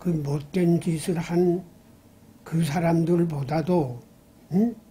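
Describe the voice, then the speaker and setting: A man speaks at a very slow pace. His pitch sits fairly high for a man, with a fairly even intonation. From Gangwon Province, South Korea. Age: 80s+. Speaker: former governor and lawmaker. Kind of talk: interview answer.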